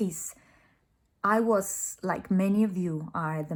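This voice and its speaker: Speaking at a fairly slow pace with a non-native accent, the voice sounds somewhat breathy and shows ordinary pitch variation. The recording is very clean, with a silent background. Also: woman. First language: not English. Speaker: life coach vlogger. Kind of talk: motivational vlog monologue. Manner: passionate.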